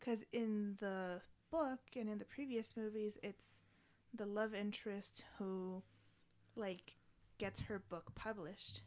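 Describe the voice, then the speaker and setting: With fairly even intonation, a woman talks in an unremarkable speaking voice. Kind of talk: casual chat.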